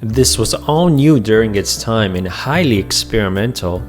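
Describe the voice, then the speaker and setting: A man speaks at a fairly low pitch over music in the background. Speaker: gaming video narrator. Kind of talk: documentary-style history narration.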